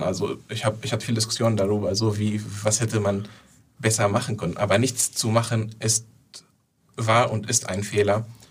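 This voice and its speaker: The speaker has an Arabic accent and a monotone, flat intonation. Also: man. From southern Syria. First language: Arabic (speaking German). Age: 20s. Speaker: Syrian refugee activist. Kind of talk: interview. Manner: halting.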